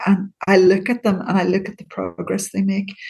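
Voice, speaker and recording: A woman speaks in a Northern Irish accent at a moderate pace. Her voice is medium in pitch and somewhat breathy. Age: 60s. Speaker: CBT therapist. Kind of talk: interview.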